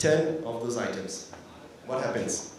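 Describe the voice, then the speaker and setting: Amid noticeable background noise and audible room echo, a man at medium pitch talks with a French accent. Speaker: consultancy founder. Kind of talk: conference talk. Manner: halting.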